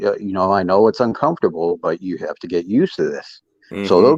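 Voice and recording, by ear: Here a man talks at a fairly quick pace in a Minnesotan accent. The sound is dry and close, with no echo. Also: quiet background. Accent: Minnesota.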